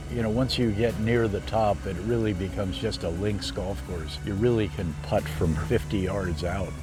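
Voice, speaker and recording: Music plays in the background and the room echo is audible as a man speaks with a very deep, low pitch. His pace is moderate, his intonation lively, with hardly any pauses. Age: 70s. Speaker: golf course owner and developer. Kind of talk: casual chat.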